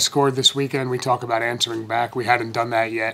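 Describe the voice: A man's fairly bright tone at a fairly quick pace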